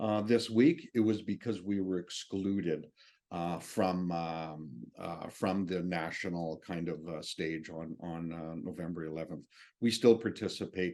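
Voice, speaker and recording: A man with a Canadian accent, very deep and low in pitch, with a dark, mellow tone, a fairly slow pace, ordinary pitch variation and big swings in loudness, against a quiet background. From Northwest Territories, Canada. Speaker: military veteran and speaker. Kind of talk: public speech. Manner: halting.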